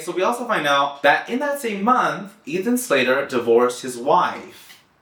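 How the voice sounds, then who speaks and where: The tone is animated, with very wide pitch swings. Room echo is audible. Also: man. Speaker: pop culture commentator. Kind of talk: casual vlog commentary. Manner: animated, chatty.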